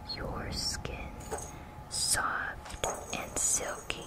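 A woman speaks over loud background noise. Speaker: ASMR creator. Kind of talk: ASMR whisper reading of product descriptions to camera. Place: home room. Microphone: phone near.

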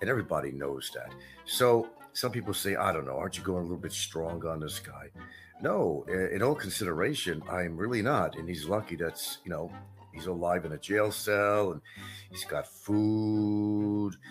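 A man's fairly low voice at a moderate pace, ordinary pitch variation, faint music in the background. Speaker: vlogger host. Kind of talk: casual vlog commentary. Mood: mocking, gloating. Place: home room.

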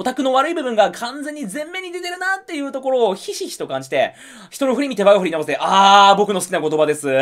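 A man speaks at a very fast pace with an extremely high pitch, very wide pitch swings and big swings in loudness. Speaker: YouTube movie reviewer. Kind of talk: casual monologue review. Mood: disappointed, irritated. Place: home room.

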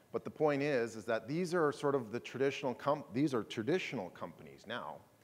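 With lively intonation and a fairly quick pace, a man is talking. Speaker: conference keynote speaker. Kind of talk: presentation talk. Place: hall.

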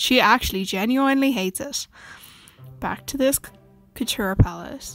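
With music in the background, a speaker in an Irish accent uses lively intonation at a moderate pace. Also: woman. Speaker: beauty vlogger's friend doing voiceover. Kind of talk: casual voiceover commentary on makeup tutorial.

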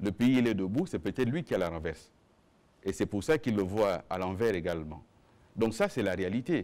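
Fairly low in pitch, a man talks at a fairly quick pace, broken by long, frequent pauses. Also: lively intonation. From Gabon. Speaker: government minister and spokesperson; government minister, spokesperson. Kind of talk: press conference. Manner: formal. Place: meeting room.

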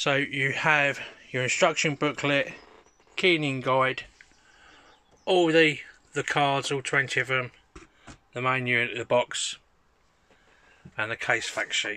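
A man's bright, sharp voice at a fairly slow pace, with ordinary pitch variation and long, frequent pauses. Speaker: toy seller. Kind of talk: product description for sale listing. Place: home room. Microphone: phone near.

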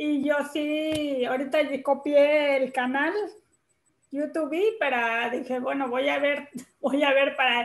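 A high-pitched woman speaks at a very slow pace with long, frequent pauses and fairly even intonation. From Tlaxcala, Mexico. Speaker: special education teacher. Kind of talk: casual spoken comment in online class. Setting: video call. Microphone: video call.

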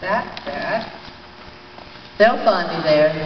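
The speech comes at a very slow pace with audible room echo and light background noise. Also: woman. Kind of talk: poem performed, dramatic anguished monologue in verse. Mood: grave, emotional. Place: hall. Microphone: handheld.

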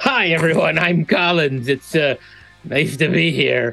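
A put-on character voice at a middle pitch and a fairly slow pace, with music in the background. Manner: friendly greeting.

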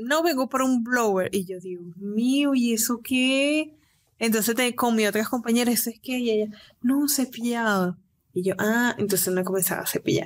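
Delivered at a moderate pace, this is an unremarkable speaking voice with ordinary pitch variation. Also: woman, fairly high pitch for a woman. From Venezuela, Cabimas, Zulia state. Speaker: nail technician and entrepreneur. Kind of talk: interview.

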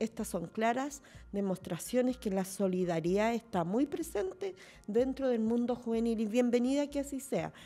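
At a moderate pace, a woman speaks with a fairly high pitch, lively intonation and a dark, mellow tone. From Chile, Santiago; Chile. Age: 50s. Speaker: mayor. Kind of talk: panel discussion. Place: studio. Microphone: studio mic.

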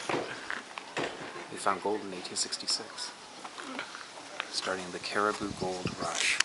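A man speaks against loud background noise. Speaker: travel vlogger. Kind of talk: casual talk to camera. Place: street. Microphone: phone near.

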